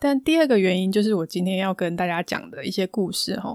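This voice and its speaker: A woman with a Taiwanese accent at a medium pitch and fairly quick pace, on a very clean recording with a silent background. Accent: Taiwanese Mandarin. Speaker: podcast host and counselor. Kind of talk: solo podcast monologue. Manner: calm, soothing.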